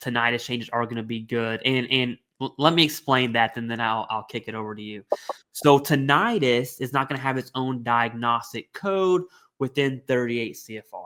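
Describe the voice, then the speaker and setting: A man with an American accent, a bright, sharp tone, ordinary pitch variation, big swings in loudness and a moderate pace. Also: medium pitch for a man. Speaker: veterans benefits podcast co-host. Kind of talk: casual discussion.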